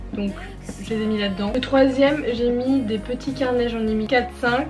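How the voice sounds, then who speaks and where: A high-pitched woman at a moderate pace with music in the background. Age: 20s. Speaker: lifestyle YouTuber. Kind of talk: casual talk to camera. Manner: chatty, enthusiastic.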